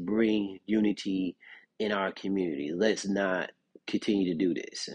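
A man speaks at a fairly slow pace in a very deep, low voice, his intonation fairly even. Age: 40s. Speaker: podcast host. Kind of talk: solo commentary. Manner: halting, many fillers.

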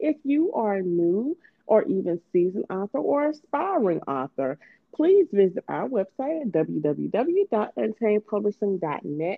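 A woman speaks fairly slowly with vocal fry and lively intonation, her sound dry and close with no echo.

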